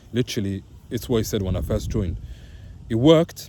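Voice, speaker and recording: A man at a very fast pace. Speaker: vlogger sharing mental health experience. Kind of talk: casual vlog monologue. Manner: hesitant, many fillers.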